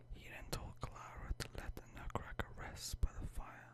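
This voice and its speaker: A man whispers at a fairly slow pace. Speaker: ASMR creator. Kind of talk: bedtime story reading. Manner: whispered.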